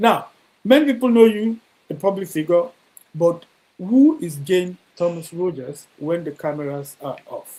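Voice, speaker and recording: A man with a dark, mellow tone speaks with lively intonation and big swings in loudness. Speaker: DJ and talk show host. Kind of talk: interview. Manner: stammering.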